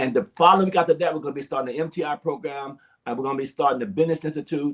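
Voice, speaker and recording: At a very fast pace, a man with a fairly high pitch talks in an animated tone with an American accent. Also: ordinary pitch variation. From Arizona. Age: 60s. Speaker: pastor. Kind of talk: interview. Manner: halting.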